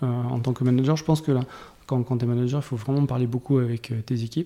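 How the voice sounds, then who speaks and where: This man's voice has a dark, mellow tone and is somewhat breathy, sitting at a medium pitch with fairly even intonation and a moderate pace. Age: 40s. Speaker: tech executive (CTO). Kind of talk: interview conversation. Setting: studio, face to face. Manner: halting, many repetitions.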